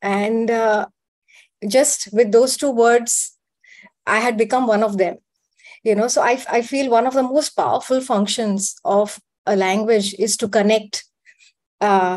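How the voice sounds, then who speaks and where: A woman speaks in a Gujarati accent with a fairly high pitch and fairly even intonation. Her pauses are long and frequent. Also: fairly slow pace. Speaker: panelist. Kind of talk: panel debate. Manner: hesitant, many fillers.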